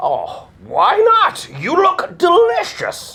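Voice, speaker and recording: Using a put-on character voice, a man talks very slowly at an extremely high pitch. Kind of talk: children's story read-aloud. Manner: dramatic, expressive.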